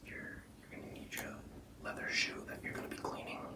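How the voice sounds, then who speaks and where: Whispering, a man gets his words out. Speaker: men's style YouTuber; presenter. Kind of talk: ASMR tutorial. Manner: casual. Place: home room.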